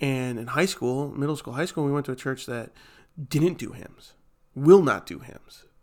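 In an unremarkable speaking voice, a fairly high-pitched man talks at a moderate pace with ordinary pitch variation and big swings in loudness, on a very clean recording with a silent background. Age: 20s. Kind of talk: casual chat.

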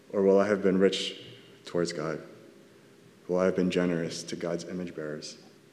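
A man with a Californian accent at a moderate pace, with audible room echo. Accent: Californian American. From Southern California. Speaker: church elder giving a sermon. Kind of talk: sermon. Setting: church.

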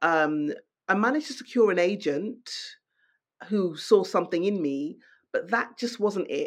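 Against a quiet background, a woman with a London accent talks at a moderate pace in a medium pitch with lively intonation. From London, England. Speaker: novelist. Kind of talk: interview.

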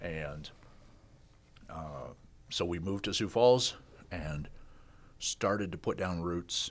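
With a Midwestern US accent, a man speaks at a very deep, low pitch with ordinary pitch variation, going at a very slow pace with long, frequent pauses. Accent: US Midwest. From Kansas. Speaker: business owner. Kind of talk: casual interview.

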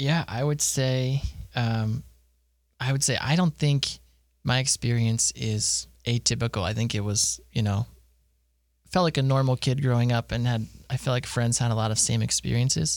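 A man with an American accent has an ordinary speaking voice, ordinary pitch variation and a moderate pace. His loudness stays very even on a very clean recording with a silent background. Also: medium pitch for a man. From Pennsylvania, Harrisburg. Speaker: stay-at-home dad. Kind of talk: casual interview.

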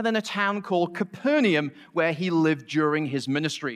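At a moderate pace over a quiet background, a man with a Mancunian accent speaks in a high pitch with lively intonation. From Manchester, England. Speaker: college professor and lay preacher. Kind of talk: sermon. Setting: church stage with congregation.

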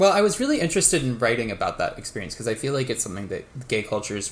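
A man with an American accent speaks at a very fast pace. His medium-pitched voice makes very wide pitch swings. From Texas, Waco. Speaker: novelist. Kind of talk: casual interview.

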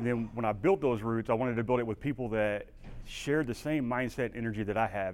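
Here a man speaks with a Texan accent. His pitch is medium. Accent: Texan drawl. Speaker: veteran and humanitarian aid worker. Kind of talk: conference talk, casual. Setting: stage with audience.

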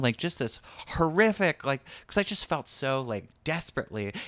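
A man with an American accent, fairly high pitch and very wide pitch swings at a moderate pace, on a very clean recording with a silent background. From rural small town, US. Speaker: stand-up comedian. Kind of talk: casual chat. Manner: hesitant, many fillers.

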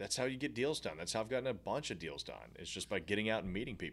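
A man speaks with vocal fry. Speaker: podcast co-host, real estate investor. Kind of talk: casual podcast chat.

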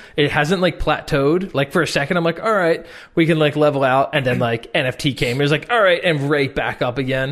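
A man with a fairly high pitch talks with hardly any pauses and very even loudness. His is a plain, everyday voice with ordinary pitch variation. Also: fairly quick pace, quiet background. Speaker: motion design educator and artist. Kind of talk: casual podcast chat.

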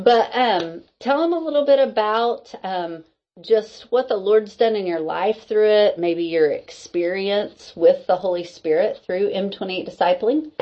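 A woman's medium-pitched voice, warm and animated, with lively intonation and a fairly slow pace. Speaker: podcast host and discipleship group leader. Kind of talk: casual interview chat. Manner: warm, animated, laughs often.

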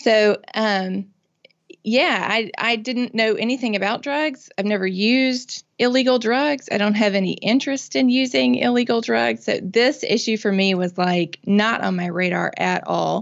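Speaking with a Mississippi accent, a woman uses a fairly high pitch and lively intonation at a fairly slow pace. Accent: Southern US (Mississippi). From US South, Mississippi. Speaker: nonprofit founder and drug policy reform advocate. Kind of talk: interview conversation.

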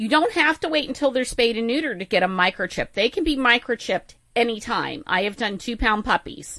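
A woman with an ordinary speaking voice, fairly high-pitched and lively in intonation, at a fairly quick pace with hardly any pauses. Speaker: veterinarian. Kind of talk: radio call-in show. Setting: studio.

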